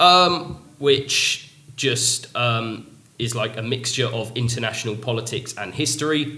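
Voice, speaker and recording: With a London accent, a man talks at a fairly slow pace and medium pitch, his intonation lively, amid noticeable background noise and audible room echo. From London (Feltham, west London). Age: 20s. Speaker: English teacher. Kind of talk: casual podcast chat.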